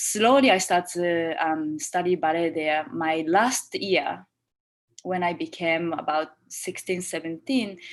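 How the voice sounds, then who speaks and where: A woman with a fairly low voice and a non-native accent. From Japan. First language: Japanese. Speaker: choreographer. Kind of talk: interview. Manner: halting.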